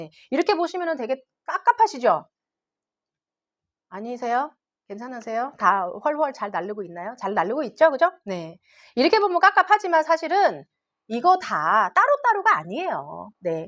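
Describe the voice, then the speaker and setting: A woman speaks at high pitch, with very wide pitch swings and big swings in loudness. She leaves long, frequent pauses against a quiet background. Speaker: English academy teacher. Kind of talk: parent information session presentation. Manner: fast.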